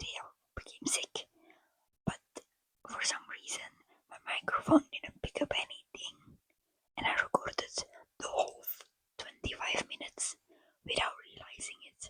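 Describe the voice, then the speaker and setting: Someone whispers with a non-native accent. Long pauses come often. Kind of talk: casual talk to camera, lo-fi ASMR chat. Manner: whispered.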